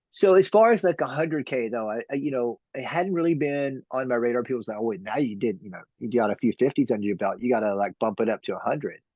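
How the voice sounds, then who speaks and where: A man with a Texan accent, medium in pitch, with lively intonation and a very fast pace. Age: 50s. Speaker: trail runner. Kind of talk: interview. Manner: halting.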